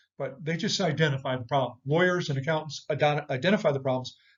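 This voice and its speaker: A man with an American accent, fairly high in pitch and somewhat breathy, at a very fast pace. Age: 60s. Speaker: economics commentator, former business professor. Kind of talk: economic update talk to viewers. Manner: conversational, frequent fillers and repetitions.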